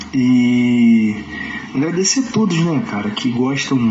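The voice holds fairly even intonation over noticeable background noise, with audible room echo. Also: man. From Nova Friburgo, Rio de Janeiro state, Brazil. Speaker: samba singer. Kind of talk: interview. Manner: halting, many fillers.

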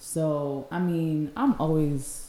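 Dark and mellow, a woman's voice sits at a fairly low pitch. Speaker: podcast co-host. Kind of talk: casual chat. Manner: animated.

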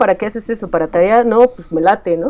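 A woman talks in a central Mexican accent at a fairly high pitch. Her tone is dark and mellow, with ordinary pitch variation. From Mexico, Estado de México. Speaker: illustrator. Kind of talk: casual chat.

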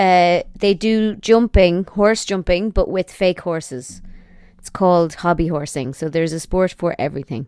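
In an Irish accent, a woman with a fairly low pitch speaks at a moderate pace with ordinary pitch variation, the sound dry and close with no echo on a very clean recording with a silent background. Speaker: YouTuber and podcaster. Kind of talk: casual chat.

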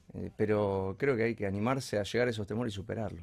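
Speaking at a fairly quick pace, the man has an unremarkable speaking voice and a fairly low pitch. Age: 30s. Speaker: architect. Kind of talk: casual interview.

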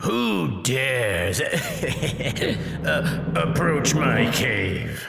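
A man uses a booming, put-on character voice at medium pitch. There is a slight echo and clear background noise. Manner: imperious, demanding.

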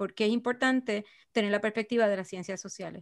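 The speaker shows ordinary pitch variation on a very clean recording with a silent background. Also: woman. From Puerto Rico. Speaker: archaeologist. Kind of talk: interview conversation.

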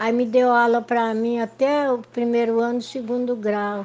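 This woman talks fairly slowly in a fairly high pitch. Her intonation stays flat and monotone. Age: 80s. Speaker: elderly community resident telling life story. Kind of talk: personal testimony. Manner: halting, repeats words.

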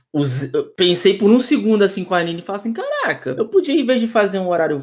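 His pitch swings very widely as the man talks fairly quickly over noticeable background noise. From Brazil, Rio de Janeiro. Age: 20s. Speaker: youtuber and tattoo artist. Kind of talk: casual podcast chat. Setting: remote call from abroad.

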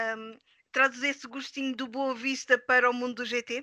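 A woman speaks in a high voice with a European Portuguese accent, her tone bright and sharp, her intonation flat and monotone, and the sound dry and close with no echo. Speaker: interviewer host of a sim racing league show. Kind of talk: casual interview.

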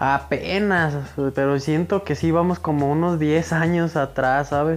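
This man has a normal speaking voice, pitched fairly high. He talks fairly slowly, with ordinary pitch variation. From Mexico, Michoacán (Villa Jiménez). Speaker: rapper. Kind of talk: interview, casual chat.

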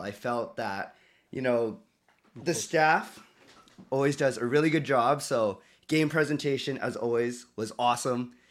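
Speaking at a moderate pace, a man has a plain, everyday voice at a medium pitch. His pitch varies in an ordinary way in a very clean recording with a silent background. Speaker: sports fan, host's son. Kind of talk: casual chat. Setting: home studio.

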